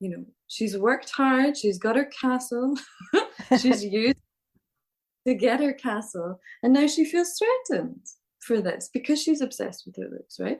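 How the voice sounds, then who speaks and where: A woman speaks in a Scottish accent at a high pitch and a moderate pace, with lively intonation. She leaves long, frequent pauses and her loudness swings widely. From Scotland. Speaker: storyteller. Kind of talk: interview answer.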